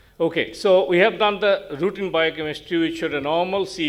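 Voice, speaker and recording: A man is speaking. Noticeable background noise sits behind him. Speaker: doctor presenting a case. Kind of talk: case presentation at medical conference. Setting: conference stage. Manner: fast.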